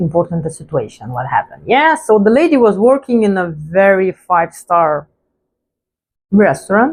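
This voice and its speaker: Her pitch swinging very widely, a woman speaks with a non-native accent. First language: not English. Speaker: vlogger. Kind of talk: casual storytelling monologue.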